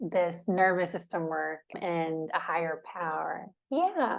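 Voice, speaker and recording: A woman has an ordinary speaking voice with a fairly low pitch. She talks at a fairly slow pace. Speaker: podcast host, recovered from chronic fatigue syndrome. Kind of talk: interview host talk.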